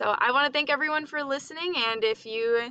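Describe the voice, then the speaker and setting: A woman with an American accent uses a raised, projected voice, high in pitch and bright, sharp in tone. Her pitch variation is ordinary and her pace is moderate. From US Midwest, western Wisconsin. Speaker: college student. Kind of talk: class presentation.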